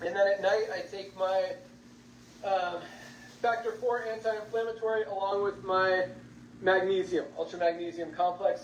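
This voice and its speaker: Against noticeable background noise, a high-pitched man speaks with ordinary pitch variation. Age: 50s. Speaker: company founder and CEO. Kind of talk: business presentation webinar. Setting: video call.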